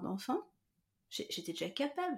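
Somewhat breathy, a woman's voice proceeds at a moderate pace. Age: 40s. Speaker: therapist and coach. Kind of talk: casual interview, personal testimony.

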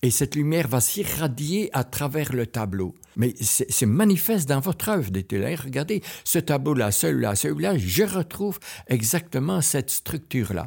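With vocal fry and very wide pitch swings, a man speaks at a medium pitch and a fairly slow pace in a very clean recording with a silent background. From Belgian Ardennes. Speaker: painter. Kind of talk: interview. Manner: halting.

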